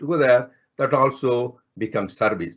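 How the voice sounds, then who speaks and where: Over a quiet background, a man speaks with a Telugu accent. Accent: Indian (Telugu) English. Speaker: spiritual speaker, physician. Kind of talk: spiritual talk. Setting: online talk.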